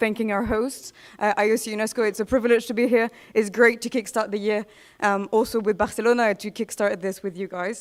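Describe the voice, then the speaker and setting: At a fairly quick pace, a woman speaks with a fairly high pitch and monotone, flat intonation. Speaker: executive director of an ocean-climate network. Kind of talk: conference talk. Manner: fast.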